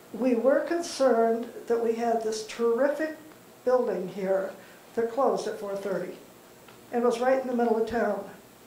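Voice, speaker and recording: Over light background noise and audible room echo, a woman with a fairly high pitch speaks at a fairly slow pace with ordinary pitch variation. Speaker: panelist, class volunteer; panelist. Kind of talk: panel reminiscence. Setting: community center with audience. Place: hall. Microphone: handheld.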